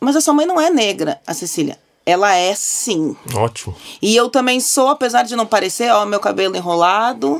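With very wide pitch swings, a woman speaks at a fairly high pitch and a moderate pace. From Porto Alegre, southern Brazil. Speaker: advertising professional. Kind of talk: casual chat.

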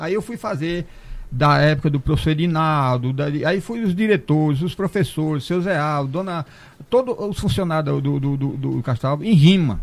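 A plain, everyday voice, a man's, fairly high in pitch, fairly slow and with lively intonation. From Brazilian Northeast. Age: 60s. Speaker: cordel poet. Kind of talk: casual chat.

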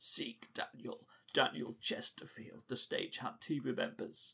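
A man puts on a wheezy character voice. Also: moderate pace.

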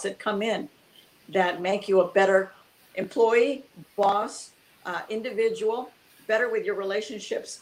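A woman talks at a fairly slow pace. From US, Cuban immigrant family. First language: Spanish. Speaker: entrepreneur, author. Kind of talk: interview.

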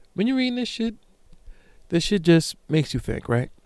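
A man speaks at a very fast pace. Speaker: solo podcast host. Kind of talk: reading aloud; casual solo monologue. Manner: stumbling over words.

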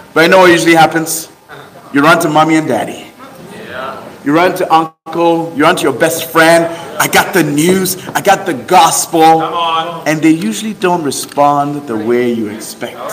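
A man speaks at a moderate pace with ordinary pitch variation while noticeable background noise continues. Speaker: preacher. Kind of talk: sermon. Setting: stage with audience. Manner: animated.

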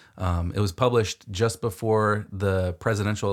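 A man with an American accent in a very clean recording with a silent background. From US. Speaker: podcast co-host. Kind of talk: casual chat. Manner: hesitant, many fillers.

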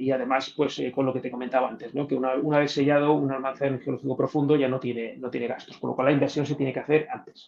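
At a very fast pace with hardly any pauses, a man speaks in monotone, flat intonation. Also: medium pitch for a man. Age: 50s. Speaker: nuclear reactor operator and science communicator. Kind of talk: interview answering audience questions. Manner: hesitant, many fillers and repeated words.

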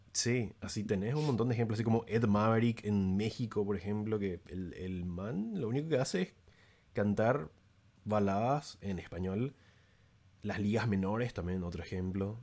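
A man with a Paraguayan accent speaks at a moderate pace in a dark, mellow tone, his fairly low pitch showing ordinary pitch variation. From Paraguay, San Lorenzo. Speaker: music YouTuber. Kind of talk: casual chat.

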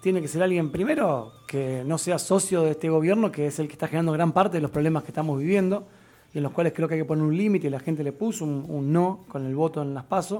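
A man's fairly high, dark, mellow voice at a very fast pace with ordinary pitch variation. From Argentina, Santa Fe. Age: 30s. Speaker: political candidate. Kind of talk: radio interview.

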